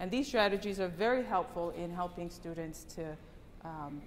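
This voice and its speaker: A woman of medium pitch speaks with ordinary pitch variation, and the room echo is audible. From Tonga. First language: Tongan. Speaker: English language teacher. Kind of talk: conference presentation.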